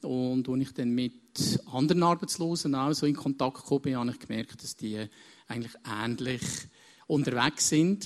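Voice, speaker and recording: He is a man with an ordinary speaking voice. His medium pitch shows normal movement, and his speed is moderate. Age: 50s. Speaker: counselor and business consultant. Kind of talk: onstage interview.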